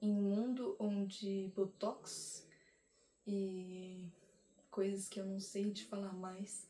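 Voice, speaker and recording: The voice has a dark, mellow tone and monotone, flat intonation, moving at a very slow pace with long, frequent pauses. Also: woman, medium pitch for a woman. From Brazil. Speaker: vlogger. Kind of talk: casual monologue to camera.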